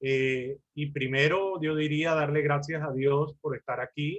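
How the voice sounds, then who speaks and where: A man speaks at a very slow pace with fairly even intonation. His pitch is fairly high. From Colombia. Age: 60s. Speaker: lawyer and mediation lecturer. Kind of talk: lecture.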